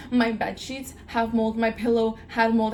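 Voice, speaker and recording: Noticeable background noise surrounds this woman's voice. She sounds animated and speaks at a fairly high pitch. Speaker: vlogger. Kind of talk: casual chat. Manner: halting.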